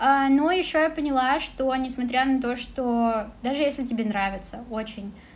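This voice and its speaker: A woman speaks with fairly even intonation. There is audible room echo. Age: 20s. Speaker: former office manager and kpop cafe assistant manager. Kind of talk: casual interview chat.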